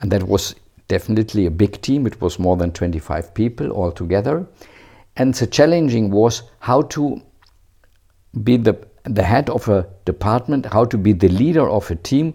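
Very clean, with a silent background, this recording has a man speaking at a moderate pace in a fairly low pitch. His tone is dark and mellow, and his intonation is lively. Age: 60s. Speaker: retired bank manager. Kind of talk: interview. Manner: halting.

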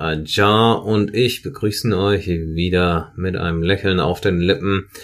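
This man has a very deep, low pitch. He talks at a very slow pace. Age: 30s. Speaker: podcast co-host. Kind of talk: casual chat.

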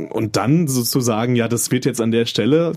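A man with an ordinary speaking voice speaks at a fairly quick pace, his pitch varying in an ordinary way. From North Rhine-Westphalia, small town. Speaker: podcast co-host. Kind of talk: casual chat. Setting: studio.

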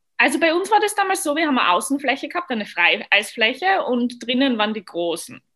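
The speaker has an Austrian accent and moves at a fairly quick pace. The intonation is lively. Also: woman. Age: 20s. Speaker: professional figure skater. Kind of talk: podcast interview.

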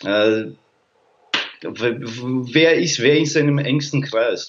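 Pitched fairly high, a man talks with ordinary variation in his pitch. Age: 30s. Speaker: sports mental coach. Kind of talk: casual interview. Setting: streamed live on social media.

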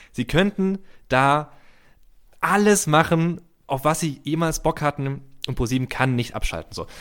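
A fairly high-pitched man with a slight Swabian accent, ordinary pitch variation, a fairly slow pace and long, frequent pauses. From Heidelberg, Baden-Württemberg. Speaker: comedy writer. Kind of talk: casual interview chat.

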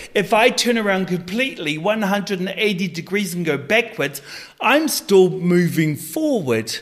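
A man speaks with a New Zealand accent. His voice is high in pitch. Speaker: life coach. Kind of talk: interview.

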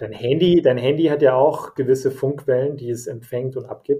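Dark, mellow tone and a somewhat breathy quality in a man's voice. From Germany, Bavaria (Nuremberg) and Hesse (Frankfurt area). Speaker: podcast host. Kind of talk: casual chat. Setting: home office, remote recording.

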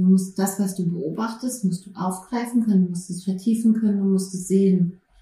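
This woman has a normal speaking voice, medium in pitch, and talks at a moderate pace. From Berlin, Germany. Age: 40s. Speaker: prison social worker with therapy dog. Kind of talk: interview. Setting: studio couch with dog present.

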